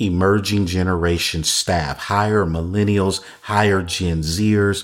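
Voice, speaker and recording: A man's ordinary speaking voice at a fairly slow pace, in a very clean recording with a silent background. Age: 50s. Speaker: church consultant podcast host. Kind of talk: solo podcast talk on church ministry. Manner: repetitive, restating phrases.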